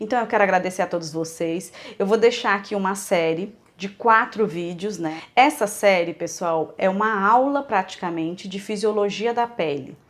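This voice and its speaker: A woman's voice at a medium pitch, moderate pace and ordinary pitch variation. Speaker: micropigmentation instructor. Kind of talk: online lecture; casual thank-you address to viewers.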